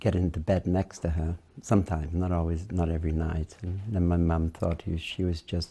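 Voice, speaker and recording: A man's very deep, low voice carries a dark, mellow tone and a Welsh accent. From Wales, Cardiff. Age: 70s. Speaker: interviewee, Tibetan studies figure. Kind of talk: oral history interview. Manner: hesitant, with many fillers.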